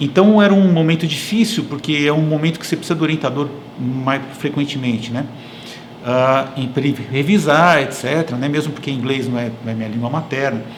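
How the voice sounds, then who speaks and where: A fairly high-pitched man's voice with audible room echo and noticeable background noise. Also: ordinary pitch variation, fairly quick pace. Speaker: engineering professor and consultant. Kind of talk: interview conversation. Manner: hesitant, many fillers.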